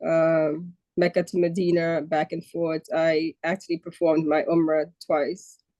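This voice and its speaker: Speaking in a New York accent, a woman uses a fairly low pitch, a dark, mellow tone and monotone, flat intonation at a fairly slow pace, with a dry, close sound and no echo. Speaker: customs broker. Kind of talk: casual chat.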